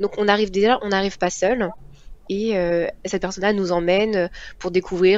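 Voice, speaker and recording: This woman talks fairly quickly at a medium pitch, her intonation fairly even. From Paris region. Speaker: engineering student. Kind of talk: interview.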